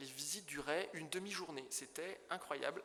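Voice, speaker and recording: With audible room echo and noticeable background noise, a man's speech unfolds at a fairly slow pace. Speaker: property dealer in historic buildings. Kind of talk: illustrated conference talk. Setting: conference hall with audience. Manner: halting, with stumbles and fillers.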